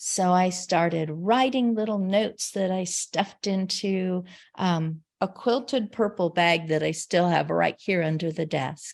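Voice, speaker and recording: The recording is very clean and the background silent. An unremarkable speaking voice goes fairly slowly, its pitch moving a normal amount. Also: woman, medium pitch for a woman, hardly any pauses. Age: 60s. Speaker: caregiver and network founder. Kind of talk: interview. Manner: conversational, with fillers.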